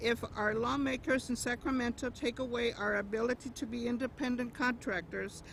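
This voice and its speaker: Noticeable background noise accompanies a woman's high-pitched voice. She speaks at a moderate pace with fairly even intonation. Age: 60s. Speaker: rideshare driver. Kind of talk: prepared speech at a rally.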